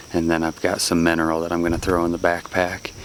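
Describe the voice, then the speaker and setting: Background noise is noticeable. A man talks with a very deep, low pitch. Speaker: hunter and outdoor vlogger. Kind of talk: casual vlog narration. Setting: outdoors.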